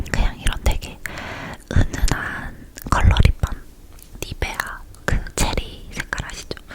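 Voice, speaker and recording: Whispering from a woman, very slow, broken by long, frequent pauses, over noticeable background noise. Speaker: ASMR creator. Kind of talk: casual product-review chat to camera. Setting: recorded at home with a condenser mic. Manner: whispered, soft.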